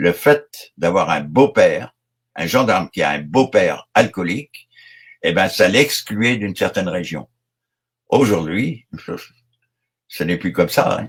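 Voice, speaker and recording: A man at a very slow pace, with long, frequent pauses and very wide pitch swings. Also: fairly low pitch for a man. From Brittany, France. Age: 70s. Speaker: retired gendarme. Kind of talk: interview. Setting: online live show. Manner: hesitant, many fillers.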